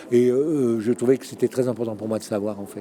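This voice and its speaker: A man with a medium pitch speaks at a fairly quick pace while noticeable background noise plays beneath. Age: 60s. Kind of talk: interview testimony. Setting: conference. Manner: halting.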